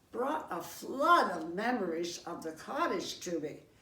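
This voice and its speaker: Very wide pitch swings from a woman at medium pitch, fairly slow, with audible room echo and noticeable background noise. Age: 90s. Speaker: senior cookbook participant. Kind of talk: personal reminiscence.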